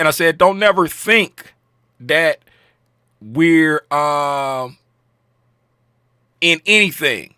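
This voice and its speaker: Loud and high-pitched, a man speaks with lively intonation and a bright, sharp tone in a dry, close sound with no echo. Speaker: trading educator. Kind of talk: market recap tutorial. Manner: casual, filler-heavy.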